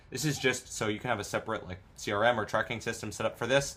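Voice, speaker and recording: A man is speaking. His pace is very fast. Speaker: online business course instructor. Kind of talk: tutorial. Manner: casual, filler-heavy.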